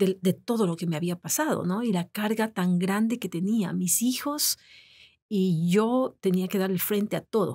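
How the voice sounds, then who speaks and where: Her tone is dark and mellow as this woman speaks at a fairly slow pace. Her pitch varies in an ordinary way, and the background is quiet. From Ecuador. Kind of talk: interview. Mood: emotional, sad personal story. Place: studio. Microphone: studio mic.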